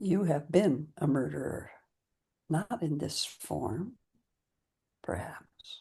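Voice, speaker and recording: Very slow and calm, a woman with a very deep, low voice and vocal fry swings very widely in pitch between long, frequent pauses. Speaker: meditation guide. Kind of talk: guided meditation. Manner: slow, calm.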